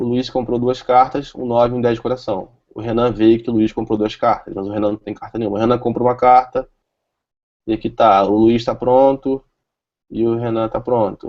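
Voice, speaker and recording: A medium-pitched male voice, flat and monotone in intonation. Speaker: software developer presenter. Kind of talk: tech talk with live demo. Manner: fast.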